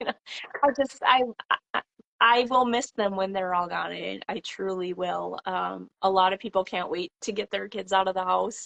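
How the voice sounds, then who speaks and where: A woman speaks with a Minnesota accent. She keeps a moderate pace. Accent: Upper Midwest (Minnesota). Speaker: farmhouse renovator and vintage seller. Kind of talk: casual chat. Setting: live video call.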